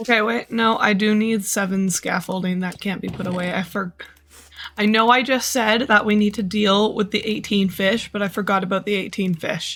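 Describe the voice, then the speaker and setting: Someone with a Canadian accent speaks at a moderate pace over noticeable background noise. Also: woman, medium pitch for a woman. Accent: Canadian, sentences sound like questions. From Canada. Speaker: video game streamer. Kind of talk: casual live-stream chat. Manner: animated.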